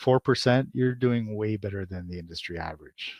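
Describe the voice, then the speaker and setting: This man has a plain, everyday voice with a fairly low pitch and lively intonation. He talks at a fairly quick pace, and the sound is dry and close with no echo. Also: quiet background. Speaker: marketing instructor. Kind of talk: webinar presentation. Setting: live webinar.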